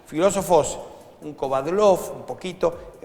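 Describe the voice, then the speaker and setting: Against noticeable background noise, a man with a Rioplatense accent speaks at a very slow pace. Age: 60s. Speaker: economist and nonprofit founder. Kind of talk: interview.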